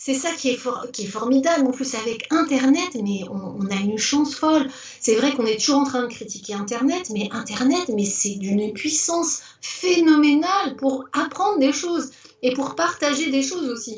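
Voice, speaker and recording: Lively intonation comes at a moderate pace, with noticeable background noise and audible room echo. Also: woman, high pitch for a woman. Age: 60s. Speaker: retired teacher turned business owner. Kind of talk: interview. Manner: animated; halting, many repetitions and fillers.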